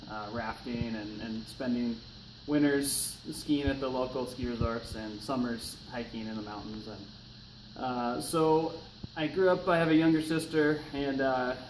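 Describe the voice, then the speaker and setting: A man with a Pacific Northwest accent speaks at a medium pitch and a fairly slow pace, with ordinary pitch variation. Audible room echo and noticeable background noise fill the recording. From US Pacific Northwest, eastern Washington. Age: 30s. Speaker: firefighter. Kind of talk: class speech assignment, self-introduction. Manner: casual, many filler words.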